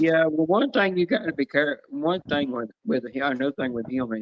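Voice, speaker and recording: A fairly quick man with a Southern US accent and ordinary pitch variation. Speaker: livestreamer. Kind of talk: casual chat. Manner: fast.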